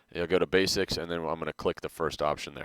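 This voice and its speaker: Very clean recording of a man, the background silent. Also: dry, close sound with no echo. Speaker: design teacher. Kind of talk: tutorial. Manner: fast; casual.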